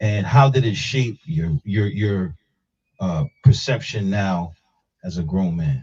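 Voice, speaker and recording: Somewhat breathy and at a fairly low pitch, a man with an American accent speaks at a very slow pace with lively intonation in a dry, close sound with no echo. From Harlem, New York. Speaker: talk show host. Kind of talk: live talk show interview. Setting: live stream.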